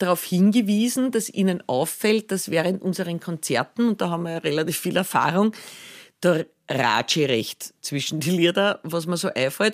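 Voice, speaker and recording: In a Viennese accent, a woman speaks at a moderate pace with lively intonation and a fairly low pitch. The recording is very clean, with a silent background. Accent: Viennese Austrian German. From Austria, Vienna region. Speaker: singer-songwriter. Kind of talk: casual interview.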